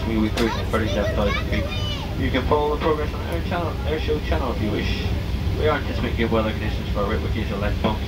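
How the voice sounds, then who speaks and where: A man talks at a very fast pace while crowd noise carries on in the background. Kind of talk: PA announcement. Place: plane.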